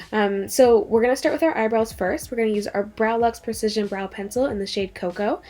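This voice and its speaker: Fairly quick speech with hardly any pauses and ordinary pitch variation, over noticeable background noise. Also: woman, fairly high pitch for a woman. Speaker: beauty vlogger. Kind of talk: makeup tutorial. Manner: fast; casual, filler-heavy.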